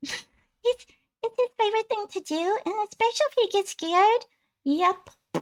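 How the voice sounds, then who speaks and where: In a put-on character voice, the speaker talks at a moderate pace with an extremely high pitch. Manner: playful, curious.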